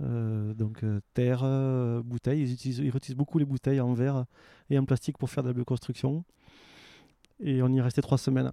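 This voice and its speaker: With a southern French accent, a man speaks in a dark, mellow tone with long, frequent pauses, the sound dry and close with no echo. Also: medium pitch for a man, fairly quick pace. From France, Aveyron. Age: 40s. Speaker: waste prevention worker and traveller. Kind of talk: casual interview. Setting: outdoors in a garden.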